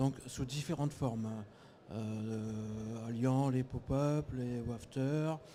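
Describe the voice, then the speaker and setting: A man with a medium pitch and a dark, mellow tone speaks with fairly even intonation. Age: 40s. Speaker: fishing bait brand representative. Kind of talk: live TV interview.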